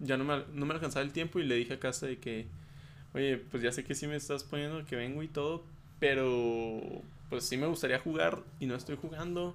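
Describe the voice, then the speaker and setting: An unremarkable speaking voice from a man at a fairly high pitch, with ordinary pitch variation and a fairly quick pace. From Chihuahua, Mexico. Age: 20s. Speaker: podcast guest. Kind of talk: casual chat.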